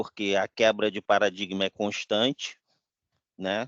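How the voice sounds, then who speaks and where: A man's fairly low voice at a very slow pace, in a dry, close sound with no echo. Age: 60s. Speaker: webinar attendee, IT professional. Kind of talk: casual discussion.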